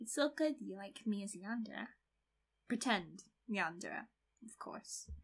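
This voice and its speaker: Fairly high and somewhat breathy, this woman's voice shifts widely in loudness. She speaks at a fairly slow pace with long, frequent pauses. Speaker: ASMR creator. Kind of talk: asmr roleplay. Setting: close-mic, one-to-one roleplay in a bedroom. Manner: soft, playful, teasing, giggly; intimate, slightly possessive yandere act.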